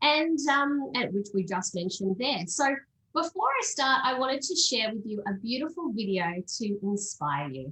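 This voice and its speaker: Speaking in an Australian accent at a moderate pace, a woman uses a fairly high pitch that moves through very wide swings. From Australia, Sydney. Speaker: travel company sales manager. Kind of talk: presentation.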